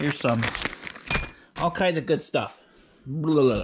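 A man talks with noticeable background noise. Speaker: off-grid cabin builder vlogger. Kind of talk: casual vlog chat. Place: home room. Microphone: phone near.

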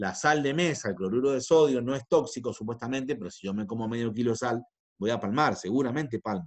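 A man speaks at a fairly quick pace. His voice has a medium pitch and ordinary pitch variation. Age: 40s. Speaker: chemistry teacher. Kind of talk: lecture. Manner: halting.

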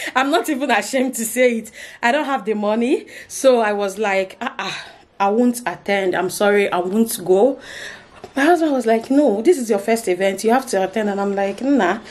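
A woman at a moderate pace with ordinary pitch variation. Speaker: vlogger. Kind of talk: casual vlog chat. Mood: animated, playful, expressive. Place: home room. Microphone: phone near.

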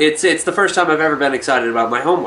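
Talking at a very fast pace, a man with a fairly high pitch has a bright, sharp tone and ordinary pitch variation.

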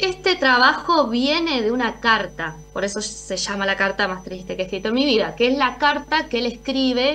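Over music in the background, a high-pitched woman talks at a moderate pace with hardly any pauses and very wide pitch swings. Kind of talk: interview answer. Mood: serious, earnest. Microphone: video call.

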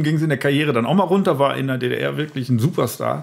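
A man rattles off his words very fast, his pitch rising and falling in a normal way, with clearly audible background noise. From Lower Rhine, Germany (Emmerich). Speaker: comedian. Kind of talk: casual chat.

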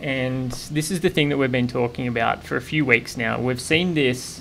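A man speaks at a moderate pace with ordinary pitch variation and vocal fry. Light background noise is audible. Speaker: lecturer. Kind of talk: lecture. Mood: relaxed, laughing. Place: home room. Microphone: studio mic.

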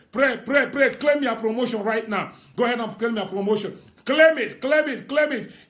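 This man's pitch is extremely high. He keeps a moderate pace with ordinary pitch variation. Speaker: prophet leading online prayer. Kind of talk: fervent prophetic prayer declaration over listeners. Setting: Facebook live stream. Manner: emphatic and rousing, urging listeners on. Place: home room. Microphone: phone near.

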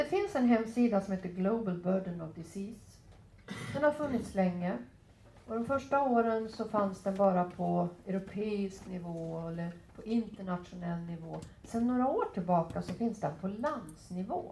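A woman speaks at a moderate pace with a dark, mellow, somewhat breathy tone. Her intonation is lively, her loudness swings widely, and light background noise is present. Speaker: physician and professor; professor. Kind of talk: lecture. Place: meeting room. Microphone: headset.

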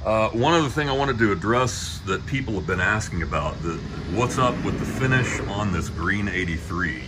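Man speaking at a moderate speed with noticeable background noise. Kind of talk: casual vlog chat. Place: street. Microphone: phone near.

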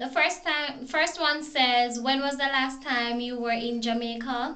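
The voice is raised and projected, with a bright, sharp tone. It moves at a fairly slow pace with fairly even intonation. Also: woman, high pitch for a woman. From Jamaica. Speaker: vlogger. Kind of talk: casual talk to camera. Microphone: phone near.

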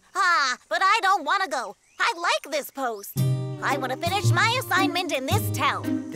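A cartoonish character voice with a whiny tone at a moderate pace, over loud music in the background. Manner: whiny, pleading, excitable.

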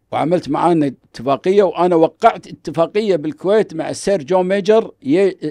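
A man talks at a moderate pace in a dark, mellow tone, with ordinary pitch variation and a quiet background. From Kuwait. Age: old. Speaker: businessman and organization founder; podcast guest. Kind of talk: casual interview. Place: studio. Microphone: studio mic.

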